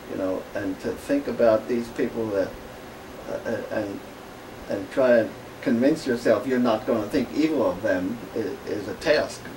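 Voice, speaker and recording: A man speaks with a Pennsylvania Dutch accent at a fairly slow pace. Noticeable background noise can be heard. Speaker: author and businessman. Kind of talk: radio interview. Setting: radio studio.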